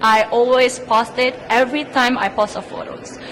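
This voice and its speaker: Against noticeable background noise, a woman with an Indonesian accent speaks in a high voice. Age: 20s. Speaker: beauty pageant contestant. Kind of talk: interview.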